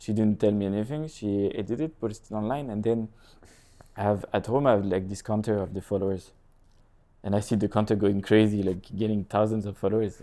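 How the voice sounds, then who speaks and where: A man with a French accent speaks at a fairly low pitch in a dark, mellow tone. His intonation is fairly even, and the recording is very clean with a silent background. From France, Lille area (north). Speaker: real estate agent and content creator. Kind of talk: casual interview chat. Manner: halting.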